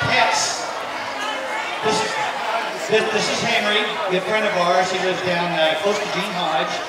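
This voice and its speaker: With an American accent, the speaker leaves long, frequent pauses amid loud background noise and audible room echo. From Tennessee. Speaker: event emcee. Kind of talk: emceeing a charity auction at a fan event. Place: tent.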